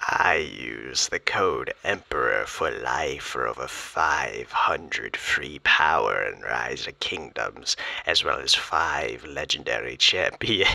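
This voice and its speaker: Using a put-on character voice, a man speaks at an extremely high pitch and a fairly slow pace, sounding raspy. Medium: role play.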